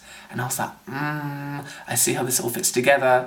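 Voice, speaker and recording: A man's voice with noticeable background noise. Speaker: video blogger. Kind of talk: casual review monologue. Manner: fast.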